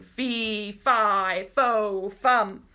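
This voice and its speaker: A woman puts on a booming character voice. Its pitch sits in the medium range. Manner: bawling, booming.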